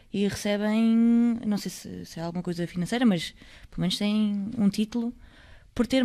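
A woman's medium-pitched voice, dark and mellow in tone, with fairly even intonation and a fairly quick pace over a quiet background. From Portugal, Aveiro; Portugal. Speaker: basketball player and podcast co-host; podcast co-host. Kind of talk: casual chat. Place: studio. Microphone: studio mic.

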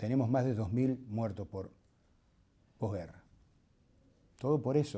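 With a dark, mellow tone, a somewhat breathy man speaks at a fairly slow pace with ordinary pitch variation and long, frequent pauses. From Argentina, Tandil (Buenos Aires province); Buenos Aires province, Argentina. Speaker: war veteran and surgeon. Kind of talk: testimony interview; interview answer. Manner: halting, frequent fillers and repetitions. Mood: indignant, earnest. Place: studio.

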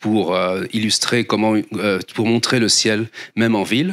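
A man talks at a moderate pace, and the background is quiet. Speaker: astronomer. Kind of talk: lecture. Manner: halting, many fillers and repeats. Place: hall. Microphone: handheld.

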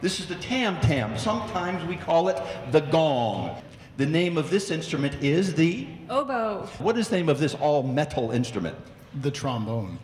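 A man at a moderate pace with very wide pitch swings, set in audible room echo with light background noise. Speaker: host. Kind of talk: educational concert presentation. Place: hall. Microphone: handheld.

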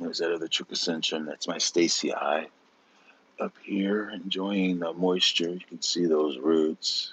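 The sound is dry, with no echo. A man speaks at a fairly slow pace. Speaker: orchid grower and video creator; video creator. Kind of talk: casual live-stream walkthrough. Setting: outdoors in the rain. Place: garden. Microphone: phone near.

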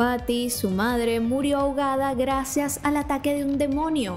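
Faint music plays in the background as a woman speaks at a fairly slow pace. Her pitch is high and her intonation fairly even. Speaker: TV series recap host. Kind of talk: narrated commentary. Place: home room. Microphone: studio mic.

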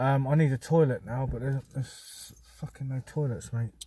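The voice is somewhat breathy with a dark, mellow tone, and the sound is dry with no echo. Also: man. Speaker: vlogger. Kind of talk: casual vlog chat. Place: car. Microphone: phone near.

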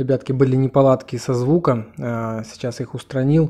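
Dark and mellow describes this man's tone. He speaks at a moderate speed. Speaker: food vlogger. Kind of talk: casual vlog chat. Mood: cheerful, enthusiastic. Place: home room. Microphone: phone near.

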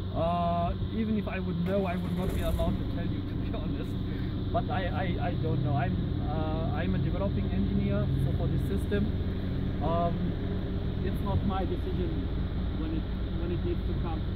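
Long, frequent pauses break up the moderate-paced speech, which has a dry sound with no echo over loud background noise. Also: man. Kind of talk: interview answer. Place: street. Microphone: camera far.

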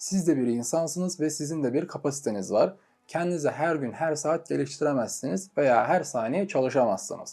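With music in the background, a man at a fairly high pitch speaks with hardly any pauses. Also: ordinary pitch variation, moderate pace. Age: 20s. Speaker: entrepreneur and YouTuber. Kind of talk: scripted monologue.

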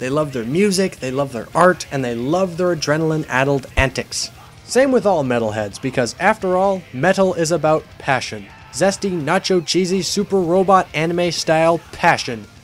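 A man's fairly high voice at a moderate pace, lively in intonation and energetic in tone, with music in the background. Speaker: music reviewer. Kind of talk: comedic review narration. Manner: energetic, irreverent. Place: home room. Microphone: webcam.

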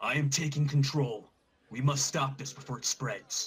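Putting on a character voice, a man holds a fairly high pitch in a monotone, flat intonation at a moderate pace. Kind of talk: public proclamation. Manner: righteous, commanding.

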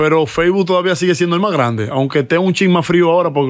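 Speaking extremely quickly, a man lets his pitch move in a normal way. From Dominican Republic. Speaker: musician and comedian; comedian. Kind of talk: casual interview chat. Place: studio. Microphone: studio mic.

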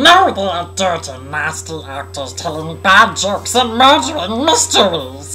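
In a put-on character voice, the speaker goes at a moderate pace with hardly any pauses over clear background noise. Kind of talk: comic parody sketch.

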